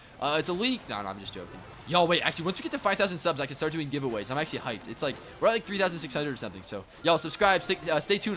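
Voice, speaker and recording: An animated, very fast male voice, fairly high in pitch, with lively intonation over noticeable background noise. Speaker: gaming YouTuber. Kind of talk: gameplay commentary.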